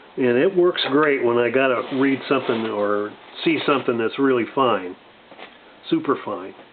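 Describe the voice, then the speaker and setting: There is noticeable background noise. A man speaks with lively intonation. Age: 60s. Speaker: gun and gear video reviewer. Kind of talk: casual show-and-tell review. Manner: halting, many fillers.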